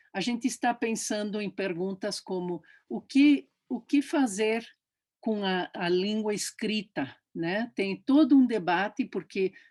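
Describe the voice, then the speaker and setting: Very slow but with lively intonation, a woman speaks at a fairly high pitch. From Brazil, São Paulo. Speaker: professor. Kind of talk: interview. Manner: halting.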